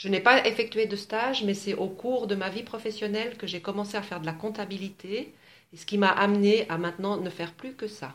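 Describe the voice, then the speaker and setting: A woman speaks fairly quickly at a medium pitch, in an ordinary speaking voice with fairly even intonation. Her loudness swings widely. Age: 50s. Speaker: accountant. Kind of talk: interview. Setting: radio station.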